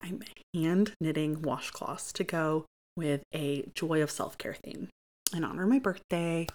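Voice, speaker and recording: A woman with an American accent speaks at a fairly slow pace in a fairly low voice. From Michigan, US (Grand Ledge, near Lansing). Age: 30s. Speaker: podcast host. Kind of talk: casual monologue.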